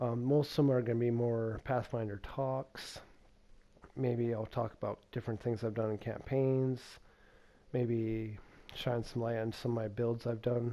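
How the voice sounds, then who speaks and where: The delivery is monotone and flat, moving at a fairly slow pace. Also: man, medium pitch for a man. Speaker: gaming YouTuber and game master. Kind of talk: casual monologue. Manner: unscripted with pauses.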